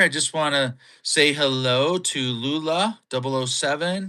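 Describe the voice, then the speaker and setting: A man with a Minnesota accent, fairly high pitch and lively intonation, his tone bright and sharp, on a very clean recording against a silent background. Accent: Upper Midwest (Minnesota) American. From Minnesota, US. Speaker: podcast co-host, live streamer. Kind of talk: casual live-stream chat. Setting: live stream. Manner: animated.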